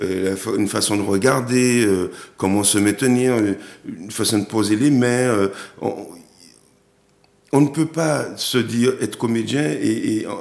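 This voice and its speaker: At a fairly slow pace with long, frequent pauses, the speaker shows ordinary pitch variation. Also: man, medium pitch for a man. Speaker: actor and director. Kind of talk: TV interview. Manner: hesitant, many repetitions.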